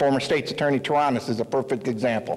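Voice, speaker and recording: Fairly high-pitched male speech with noticeable noise behind it. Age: 50s. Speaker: local political candidate. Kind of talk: campaign speech.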